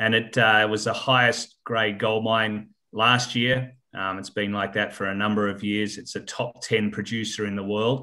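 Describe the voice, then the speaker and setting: A bright, sharp tone delivers monotone, flat intonation at a moderate pace. The recording is very clean, with a silent background. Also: man, fairly low pitch for a man. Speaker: mining company chairman. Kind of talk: interview. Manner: hesitant, many fillers.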